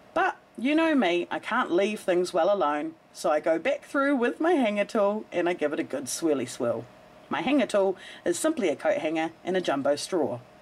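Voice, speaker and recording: An upbeat woman with a New Zealand accent speaks at medium pitch and a moderate pace, with very wide pitch swings and very even loudness, on a very clean recording with a silent background. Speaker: soap maker. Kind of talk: tutorial voice-over.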